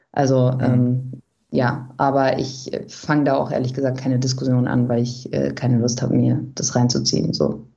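Her voice is very deep and low, with a dark, mellow tone, vocal fry, flat monotone intonation, very even loudness, and a moderate pace. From Germany, Bielefeld-Brackwede. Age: 20s. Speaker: journalist and author. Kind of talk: interview. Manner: hesitant, many fillers.

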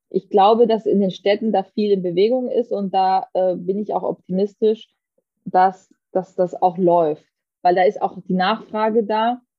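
This woman has an unremarkable speaking voice. She talks at a fairly slow pace with fairly even intonation. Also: medium pitch for a woman. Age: 30s. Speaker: politician. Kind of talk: interview.

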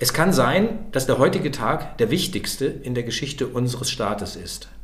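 A man at a medium pitch speaks at a moderate pace amid noticeable background noise and audible room echo. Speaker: historian and author. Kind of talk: interview.

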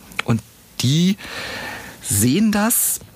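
Very wide pitch swings from a man, with noticeable background noise. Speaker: podcast host and psychological counselor. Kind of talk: interview answers, casual chat.

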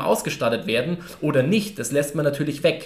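A man with a fairly high-pitched voice talks against noticeable background noise. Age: 20s. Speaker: coaching company staff member. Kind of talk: casual chat.

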